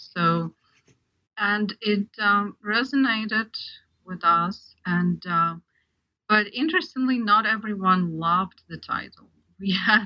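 A woman at a medium pitch with ordinary pitch variation, speaking at a very slow pace with long, frequent pauses. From Ukraine. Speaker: art historian and translator. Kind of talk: interview discussion.

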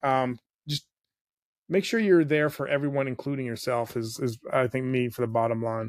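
This man has an ordinary speaking voice at a medium pitch. He talks at a moderate pace with ordinary pitch variation. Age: 40s. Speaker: podcast host and former radio host. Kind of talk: casual chat.

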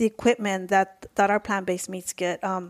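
A woman speaks at a medium pitch with fairly even intonation. Hers is an unremarkable speaking voice. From Mexico, raised in the US. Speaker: food company co-founder. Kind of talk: interview.

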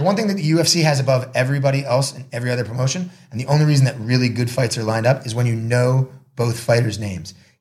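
With an American accent, a man speaks at a very fast pace in a medium pitch. His voice is somewhat breathy, with ordinary pitch variation. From US Northeast, Marblehead, Massachusetts. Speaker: combat sports promoter and announcer. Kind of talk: casual interview. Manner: talkative, rapid with many restarts.

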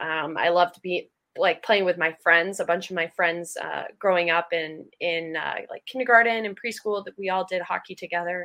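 Against a quiet background, a woman with an American accent speaks at a fairly low pitch and moderate pace, her tone bright and sharp, her intonation fairly even, with hardly any pauses. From Acton, Massachusetts (Boston area). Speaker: professional hockey player. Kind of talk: casual interview.

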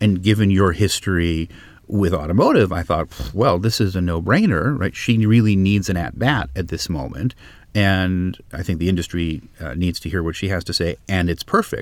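A man talks with vocal fry at a very deep, low pitch. The recording is very clean, with a silent background. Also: ordinary pitch variation, moderate pace. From US West Coast, Los Angeles. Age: 50s. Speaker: consultant and former Shakespeare teacher. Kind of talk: interview. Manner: halting with frequent repetitions.

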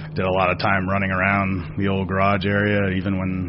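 A man talks at a fairly quick pace in a very deep, low voice, with noticeable background noise behind him. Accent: American. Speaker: racing operations director. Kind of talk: casual interview.

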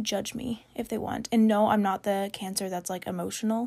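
A woman with an American accent, vocal fry and a moderate pace. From Kansas, US Midwest. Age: 20s. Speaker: true crime podcaster. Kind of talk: casual chat, solo podcast. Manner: casual, chatty, rambling.

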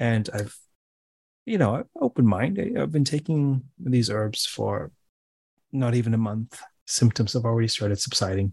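A man talks at a moderate pace and medium pitch, with ordinary pitch variation and long, frequent pauses. His voice is somewhat breathy, and the sound is dry and close with no echo. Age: 40s. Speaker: academic podcast host. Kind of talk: interview. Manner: halting, many fillers and restarts.

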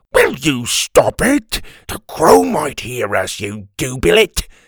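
This is a put-on character voice with very wide pitch swings. It moves at a slow pace in a dry, close sound with no echo. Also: man, medium pitch for a man.

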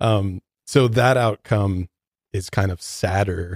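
This man's voice has a dark, mellow tone and is somewhat breathy. The sound is dry and close, with no echo. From Detroit, US Midwest. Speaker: podcast co-host. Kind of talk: casual chat.

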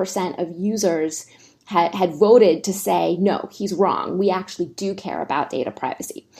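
A woman's dark, mellow tone touched with vocal fry. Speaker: think tank fellow, China tech policy expert. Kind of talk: interview.

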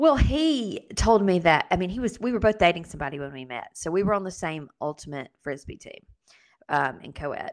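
A woman's medium-pitched voice at a fairly quick pace, with very wide pitch swings and big swings in loudness against a quiet background. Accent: Southern US. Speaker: podcast co-host. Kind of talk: casual interview chat.

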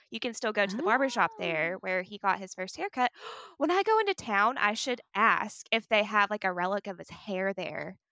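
Recorded dry and close with no echo, a woman with a Southern US accent speaks at a fairly quick pace, her medium-pitched voice bright and sharp in tone with ordinary pitch variation. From US South. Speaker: podcast co-host. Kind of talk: casual chat.

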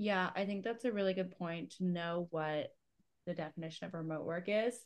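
A woman with a Canadian accent speaks at a moderate pace and medium pitch. She has a normal speaking voice. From Canada. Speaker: podcast co-host, remote worker. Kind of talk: casual chat.

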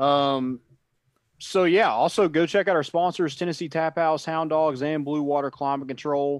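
Over a quiet background, a man talks at a moderate pace in a normal speaking voice, fairly high in pitch, his intonation fairly even. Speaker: sports podcast co-host. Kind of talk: casual sports talk podcast.

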